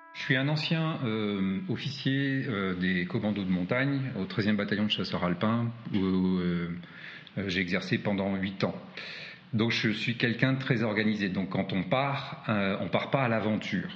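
In a room with audible echo, a man speaks at a fairly slow pace and a fairly low pitch. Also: ordinary pitch variation. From France. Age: 40s. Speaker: adventurer and hiker. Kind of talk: interview. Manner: hesitant with frequent fillers.

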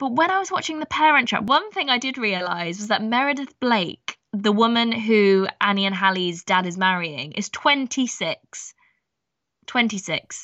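With an English accent, a woman speaks at a moderate pace, her fairly high voice carrying lively intonation. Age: 20s. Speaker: podcast co-host. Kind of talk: casual chat.

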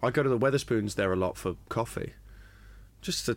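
Speaking fairly quickly with a southern English accent, a man uses lively intonation and some vocal fry. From England, Brighton. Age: 20s. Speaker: comedian. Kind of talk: casual chat.

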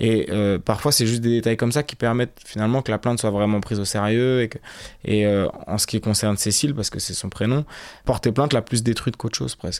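Here a man talks at a very fast pace with a medium pitch and fairly even intonation. The recording is very clean, with a silent background. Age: 30s. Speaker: radio documentary reporter. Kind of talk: interview.

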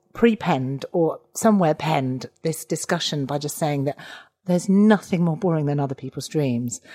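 A woman with a plain, everyday voice talks at a moderate pace in a fairly low pitch, her intonation lively, the sound dry and close with no echo. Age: 40s. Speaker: comedian. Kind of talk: casual chat.

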